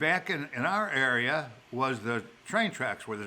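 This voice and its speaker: A man's medium-pitched voice in a Chicago accent, bright and sharp in tone, with lively intonation at a moderate pace. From Chicago, South Side. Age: old. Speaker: elderly father telling life stories. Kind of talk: storytelling in casual chat. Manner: halting, with repeated words.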